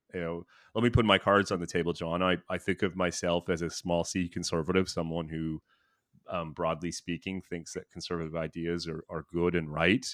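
A man with a Canadian accent talks at a fairly quick pace in a very deep, low pitch with monotone, flat intonation. The sound is dry and close with no echo. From Canada, Thunder Bay, northern Ontario. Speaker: policy analyst, former government advisor. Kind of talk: interview conversation. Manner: frequent filler words and repetitions.

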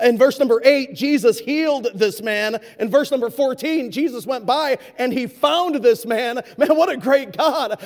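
A man at a fairly slow pace. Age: 40s. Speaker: guest preacher. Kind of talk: sermon. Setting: church with congregation.

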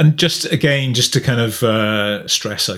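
Speaking fairly slowly, a man uses a plain, everyday voice with ordinary pitch variation. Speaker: podcast interviewer. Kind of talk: business interview.

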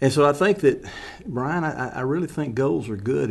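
A man speaks with lively intonation and vocal fry. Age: 70s. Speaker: ministry founder. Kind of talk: casual chat.

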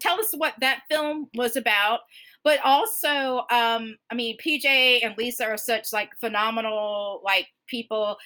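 With an American accent, a woman speaks fairly slowly in a high pitch with a bright, sharp tone, on a very clean recording with a silent background. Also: ordinary pitch variation. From US South, Georgia. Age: 40s. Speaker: podcast host. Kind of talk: casual interview chat.

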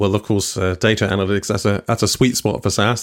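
A man with a British accent, fairly low-pitched, fairly quick, and fairly even in intonation. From UK. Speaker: podcast host. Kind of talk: casual interview. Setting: video call from home.

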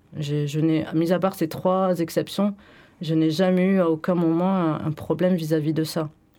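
A woman's very deep, low voice with a dark, mellow tone and monotone, flat intonation, on a very clean recording with a silent background. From France, Bordeaux. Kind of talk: radio discussion. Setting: radio studio.

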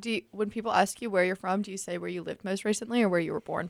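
Very fast speech comes from a woman at medium pitch, with vocal fry and a dry, close sound with no echo. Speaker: college student radio DJ. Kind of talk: casual chat.

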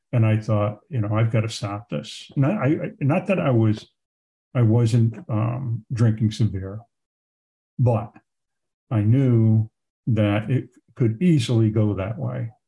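Speaking very slowly with long, frequent pauses, a man with an American accent has a medium pitch with ordinary variation, a dark, mellow tone and a somewhat breathy voice, on a very clean recording with a silent background. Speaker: war veteran. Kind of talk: interview. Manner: halting.

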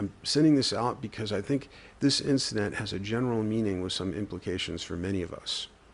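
The voice heard here is a natural reading voice.

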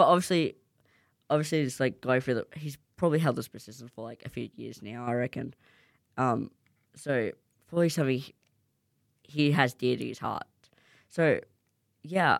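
Long, frequent pauses break up this speech in an Australian accent. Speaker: student radio host. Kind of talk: casual radio show. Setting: studio. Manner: fast.

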